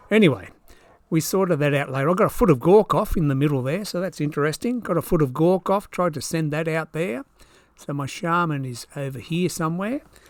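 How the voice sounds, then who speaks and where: At a fairly quick pace, a man with an Australian accent speaks with lively intonation and a fairly high pitch. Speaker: tabletop wargamer. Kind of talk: battle report commentary. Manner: casual.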